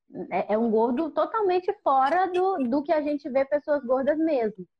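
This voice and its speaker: Her intonation is lively as the woman speaks at a fairly slow pace. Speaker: podcast host, photographer. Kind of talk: casual chat. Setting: video call.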